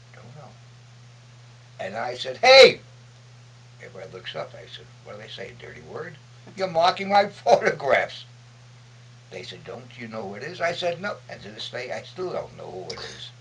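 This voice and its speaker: Moderate pace broken by long, frequent pauses, big swings in loudness, and noticeable background noise. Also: man. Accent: American. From Brooklyn, New York. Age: 80s+. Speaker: war veteran, photojournalist. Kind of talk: interview answer.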